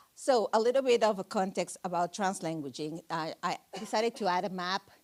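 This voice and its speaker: A woman's medium-pitched voice in a strong Mexican accent, fairly quick, with ordinary pitch variation and a dry, close sound with no echo. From Mexico City. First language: Spanish. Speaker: bilingual educator. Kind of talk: panel presentation.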